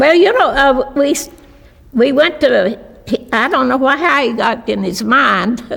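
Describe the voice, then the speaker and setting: Over noticeable background noise, a woman with a high pitch talks at a fairly slow pace, with lively intonation and long, frequent pauses. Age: 90s. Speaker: restaurant owner. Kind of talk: interview. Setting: video interview. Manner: halting.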